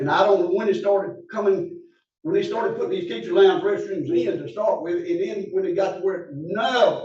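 In an Alabama accent, a man talks amid audible room echo. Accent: Southern US (Alabama). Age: 70s. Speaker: public commenter at county meeting. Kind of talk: public comment. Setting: county commission meeting.

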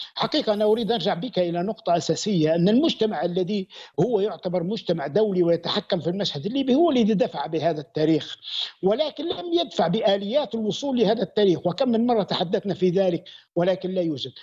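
A man with a high voice speaks at a fairly quick pace and with lively intonation against a quiet background. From Libya. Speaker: political analyst. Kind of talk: news interview. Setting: remote video link. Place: home room.

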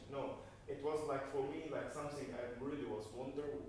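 A man with an Arabic accent at a fairly high pitch and moderate pace, with strong room echo and light background noise. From Gaza, Palestine. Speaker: documentary filmmaker. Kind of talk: post-screening Q&A. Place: hall. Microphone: camera far.

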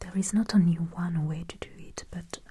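Soft-spoken and somewhat breathy, a woman talks at a fairly slow pace in a gentle tone that is dark and mellow. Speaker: presenter. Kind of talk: tutorial. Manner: soft-spoken, gentle ASMR voice. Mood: calm, friendly. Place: home room.

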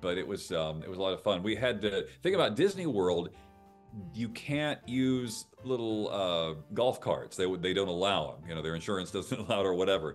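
Faint music plays behind a man talking at a fairly quick pace, his fairly low voice shaped by lively intonation. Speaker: game show announcer and voice actor. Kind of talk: casual interview answer over video call. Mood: cheerful, friendly. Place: home room. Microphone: video call.

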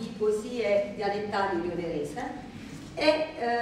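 Through strong room echo and light background noise, a woman talks at a fairly slow pace. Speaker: poetry reader presenting dialect poems. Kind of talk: introducing a poetry reading to a live audience. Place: hall. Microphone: camera far.

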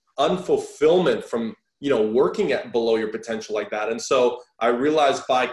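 The pace is moderate. Room echo is audible against a quiet background. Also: man. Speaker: podcast guest, fitness coach. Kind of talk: interview answer. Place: home room. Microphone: video call.

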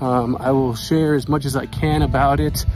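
Over clear music in the background, a man speaks with ordinary pitch variation in a dry sound with no echo. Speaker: explorer vlogger. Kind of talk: casual vlog chat. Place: open country.

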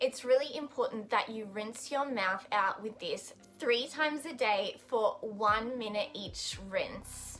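The speech moves at a fairly slow pace with ordinary pitch variation. Faint music plays in the background. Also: woman. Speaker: vlogger. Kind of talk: casual vlog chat, tips. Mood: friendly, upbeat advice.

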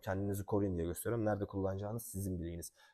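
Talking at a very fast pace, a man has a dark, mellow tone and fairly low pitch. His intonation stays fairly even. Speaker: martial arts instructor. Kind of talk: tutorial. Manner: halting.

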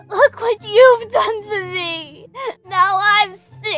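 Over faint background music, a woman uses a put-on character voice at an extremely high pitch and a very slow pace.

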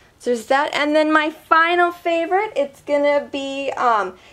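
Talking at a fairly slow pace, a woman is heard against noticeable background noise. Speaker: beauty vlogger. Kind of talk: product review vlog. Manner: casual, filler-heavy.

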